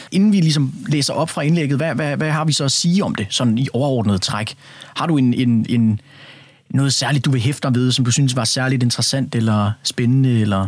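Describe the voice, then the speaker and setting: Here is a man with an unremarkable speaking voice at a medium pitch. He moves at a moderate pace with ordinary pitch variation. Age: young. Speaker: radio host. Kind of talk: radio discussion. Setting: studio.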